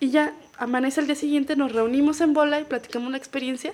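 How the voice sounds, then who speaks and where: A woman with a Mexican accent speaks at a high pitch with fairly even intonation. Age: 30s. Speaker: podcast guest. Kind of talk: casual chat.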